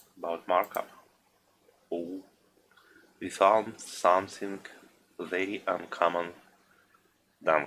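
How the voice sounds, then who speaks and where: A man speaks very slowly, with long, frequent pauses, in a non-native accent. His very deep, low voice stays monotone and flat. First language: not English. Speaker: gaming streamer. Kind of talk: live gameplay stream commentary. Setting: live stream.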